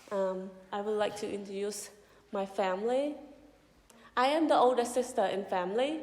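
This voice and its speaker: A woman with a Cambodian accent, ordinary pitch variation, long, frequent pauses and audible room echo. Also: medium pitch for a woman, moderate pace. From Cambodia, Kampong Cham province. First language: Khmer. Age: 30s. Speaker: mission director. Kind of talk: testimony.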